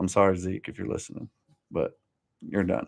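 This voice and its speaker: Vocal fry marks this man's very deep, low-pitched voice. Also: dry, close sound with no echo. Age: 40s. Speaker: podcast host. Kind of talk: live-stream sports talk. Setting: home studio live stream. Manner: monotone; casual, slangy.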